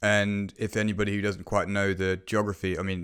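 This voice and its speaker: In a British accent, a man speaks at a moderate pace on a very clean recording with a silent background. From UK. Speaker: podcast host, property investment. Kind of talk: podcast conversation.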